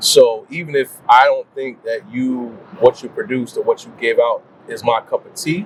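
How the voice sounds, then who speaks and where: Big swings in loudness mark this man's speech at a moderate pace. The sound is dry and close with no echo, though background noise is noticeable. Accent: American. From New Jersey, Paterson. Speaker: R&B singer. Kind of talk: casual chat.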